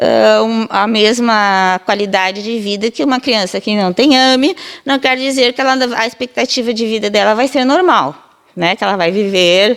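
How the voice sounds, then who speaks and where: This woman has an unremarkable speaking voice. Her intonation moves in a normal way. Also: fairly high pitch for a woman, moderate pace. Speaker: physiotherapy professor. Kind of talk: interview answer, explanatory.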